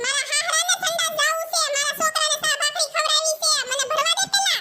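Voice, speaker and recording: This is a cartoonish character voice pitched extremely high. It moves at a moderate pace. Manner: loud, quarrelsome.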